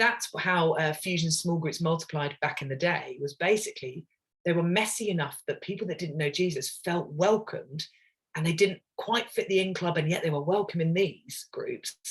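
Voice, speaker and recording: A woman with an English accent, fairly low-pitched and somewhat breathy, with ordinary pitch variation. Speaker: ministry leader. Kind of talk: webinar presentation. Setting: online webinar. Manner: fast.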